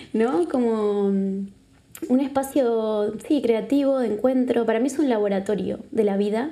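Someone with a Uruguayan accent speaks at a fairly slow pace in a dark, mellow tone. The pitch varies in an ordinary way, and the loudness stays very even. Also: woman, fairly high pitch for a woman. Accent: Uruguayan Spanish, noticeable. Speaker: psychologist and body therapist. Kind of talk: casual interview. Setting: live recording in a venue.

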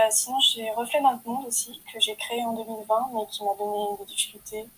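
Somewhat breathy delivery at a fairly slow pace. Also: woman. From France. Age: 20s. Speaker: podcaster and aspiring writer. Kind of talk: personal introduction monologue. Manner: hesitant.

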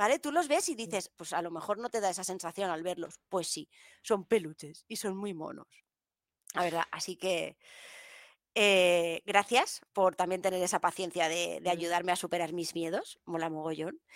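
A woman speaks at a moderate pace with a fairly low pitch and ordinary pitch variation, recorded very cleanly in a dry, close sound with no echo and a silent background. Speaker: podcast co-host. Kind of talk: casual chat. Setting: live stream.

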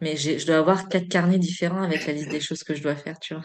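A woman with a fairly low pitch and fairly even intonation. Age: 30s. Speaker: energy therapist and medium. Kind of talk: casual chat. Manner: hesitant, many fillers.

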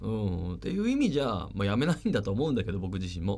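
A man speaks with vocal fry. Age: 40s. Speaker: radio host. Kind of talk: casual radio talk.

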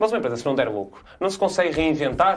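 Fairly high in pitch, a man speaks at a very fast pace with lively intonation. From northern Portugal, Guimarães. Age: 20s. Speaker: politician, parliamentary candidate. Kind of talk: political debate.

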